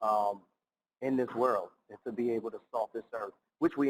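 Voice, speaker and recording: Speaking at a moderate pace with a New York accent, a man at medium pitch comes across with a dry, close sound and no echo. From New York City (Bronx). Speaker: nonprofit founder and keynote speaker. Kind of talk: keynote speech. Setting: recorded for virtual conference.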